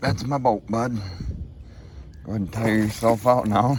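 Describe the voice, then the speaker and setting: A man speaks with an American accent at a fairly low pitch. Noticeable background noise runs under his voice. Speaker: outdoor fishing vlogger. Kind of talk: casual vlog commentary. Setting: outdoors on a kayak on a lake. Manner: animated, excited exclamations.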